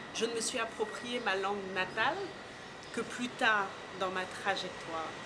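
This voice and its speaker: Amid noticeable background noise and audible room echo, a woman with a strong Parisian accent speaks at a fairly slow pace in a fairly high pitch with ordinary pitch variation. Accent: thick Parisian French. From Senegal. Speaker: art curator. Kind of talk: interview.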